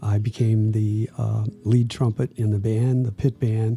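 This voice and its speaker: A man with an American accent talks at medium pitch with fairly even intonation. His tone is dark and mellow, and somewhat breathy. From Ohio, US Midwest. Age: 80s+. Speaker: musician, brother of the late guitarist. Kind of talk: interview. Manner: halting, with fillers.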